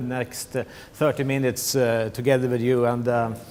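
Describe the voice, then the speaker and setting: With a Swedish accent, the speaker keeps a moderate pace and fairly even intonation against noticeable background noise. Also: man. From Sweden. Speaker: tech company business manager. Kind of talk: conference presentation. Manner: halting, many fillers and repetitions.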